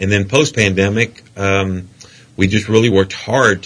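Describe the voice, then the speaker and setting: Here is a plain, everyday voice with fairly even intonation. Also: man. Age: 50s. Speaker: politician. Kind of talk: interview. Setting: studio.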